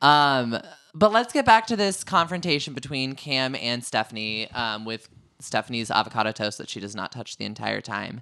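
Here a man with a medium pitch and a bright, sharp tone talks at a moderate pace with lively intonation and big swings in loudness, on a very clean recording with a silent background. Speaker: reality TV recap podcast host. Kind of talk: casual chat. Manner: animated.

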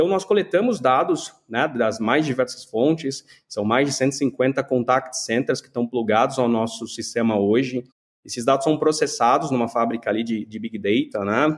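A normal speaking voice from a man, medium-pitched, at a moderate pace with ordinary pitch variation. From Brazil, São Paulo. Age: 30s. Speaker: tech entrepreneur. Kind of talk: interview.

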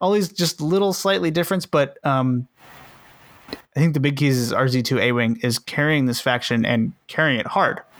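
A normal speaking voice at a moderate pace, with lively intonation, very even loudness, and a dry, close sound with no echo. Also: man, fairly high pitch for a man. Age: 20s. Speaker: tabletop game podcast host. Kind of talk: casual chat.

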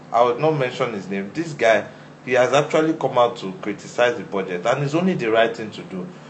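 Over noticeable background noise, a man at medium pitch talks at a fairly quick pace with lively intonation. His loudness swings widely. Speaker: podcast guest. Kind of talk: casual chat.

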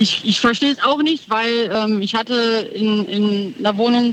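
A woman's fairly high-pitched voice, an ordinary speaking voice. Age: 30s. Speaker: caller. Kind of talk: radio call-in chat.

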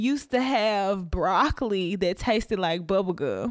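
A woman's very slow speech. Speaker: podcast co-host. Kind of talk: casual chat.

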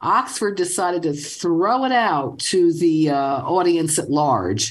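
A woman in a New York accent, fairly low in pitch, at a very slow pace. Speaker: language author. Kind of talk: call-in radio show.

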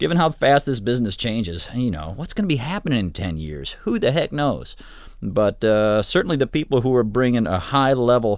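In a very clean recording with a silent background, a man with a Midwestern American accent talks at a fairly quick pace with very wide pitch swings. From Michigan, Ann Arbor. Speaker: studio director and recording instructor. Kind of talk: interview. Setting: studio control room.

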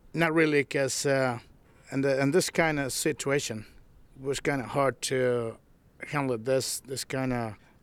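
A man with a strong Mexican accent speaks at medium pitch and a moderate pace, with long, frequent pauses. The recording is very clean, with a silent background. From Michoacan, Mexico. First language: Spanish. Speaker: tamale seller.

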